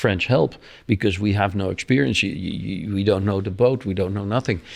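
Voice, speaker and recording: Someone with a Dutch accent talks at a fairly quick pace with fairly even intonation. The recording is very clean, with a silent background. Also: man. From Netherlands. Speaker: offshore sailor. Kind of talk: interview. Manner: halting.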